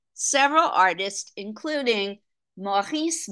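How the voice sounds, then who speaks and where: Over a quiet background, a woman speaks at a fairly slow pace. Her tone is bright and sharp, with very wide pitch swings. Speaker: art lecturer. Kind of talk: lecture. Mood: light, mildly humorous. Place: home room. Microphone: video call.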